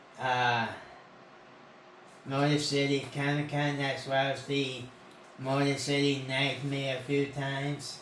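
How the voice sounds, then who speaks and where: A man at a very slow pace amid audible room echo. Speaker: convention-going channel host. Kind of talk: casual chat.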